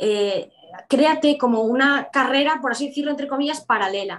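This woman delivers her words at a moderate speed. The variation in her pitch is ordinary. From Spain, Galicia. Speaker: law student and entrepreneur. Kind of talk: interview. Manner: halting, many fillers and repetitions.

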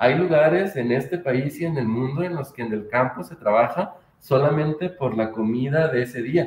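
In a Mexican accent, the speaker talks at a moderate pace with hardly any pauses, a somewhat breathy sound and ordinary pitch variation. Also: man, medium pitch for a man. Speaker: podcast host. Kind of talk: casual chat.

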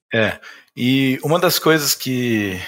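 Bright and sharp in tone, a man's voice sits at medium pitch with ordinary pitch variation. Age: 30s. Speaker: insurance broker, business owner. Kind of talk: podcast interview.

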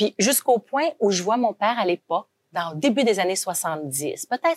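A woman speaks with lively intonation. The sound is dry and close with no echo, and the recording is very clean over a silent background. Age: 50s. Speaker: company founder and CEO. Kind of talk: interview.

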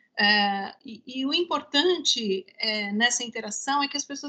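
In a raised, projected voice with a bright, sharp tone, a woman speaks at a fairly slow pace with ordinary pitch variation. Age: 50s. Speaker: marketing manager. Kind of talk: casual chat.

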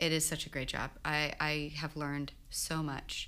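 Using a very deep, low pitch and a bright, sharp tone, a woman talks at a fairly slow pace with monotone, flat intonation. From Texas, Houston. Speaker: pilot. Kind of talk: casual chat.

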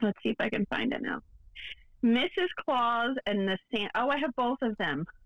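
With lively intonation and fairly high pitch, a woman speaks at a moderate pace in an ordinary speaking voice. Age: 30s. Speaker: podcast co-host. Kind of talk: casual chat. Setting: remote recording.

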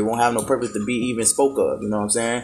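A man talks with music playing in the background. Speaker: podcast host. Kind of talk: casual monologue. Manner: laid-back.

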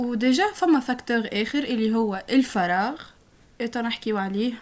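Her voice is high-pitched, and this woman speaks at a fairly slow pace with ordinary pitch variation. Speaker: podcast co-host. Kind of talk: casual chat.

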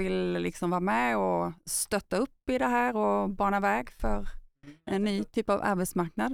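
Fairly slow speech, with a very clean recording and a silent background. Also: woman. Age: 50s. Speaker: podcast host. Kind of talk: interview.

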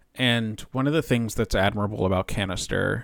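In a normal speaking voice, a man talks at a fairly low pitch with ordinary pitch variation, recorded very cleanly against a silent background. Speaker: podcast host. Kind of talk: casual chat. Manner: casual, jokey.

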